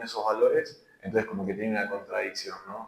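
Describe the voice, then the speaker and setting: A man speaks at a very fast pace. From Argentina, Buenos Aires province (San Antonio de Areco). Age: 20s. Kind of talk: interview. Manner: hesitant, many fillers.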